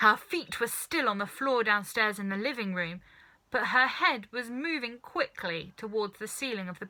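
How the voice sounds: Everything here is delivered in a natural reading voice.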